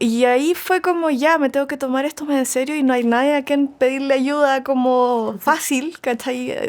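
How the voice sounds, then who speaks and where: The speaker talks at a moderate pace in a Chilean accent. There are hardly any pauses, and the intonation stays fairly even. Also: woman, high pitch for a woman. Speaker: singer-songwriter. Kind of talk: interview conversation. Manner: casual, many fillers.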